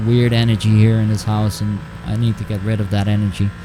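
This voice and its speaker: A man does the talking. Behind him, background noise is noticeable. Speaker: video game streamer. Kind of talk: live gameplay stream chat. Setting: home. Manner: halting.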